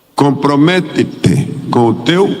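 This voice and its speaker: Over noticeable background noise and audible room echo, a man with a fairly high pitch speaks very slowly with ordinary pitch variation. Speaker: missionary pastor. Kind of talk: sermon. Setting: church.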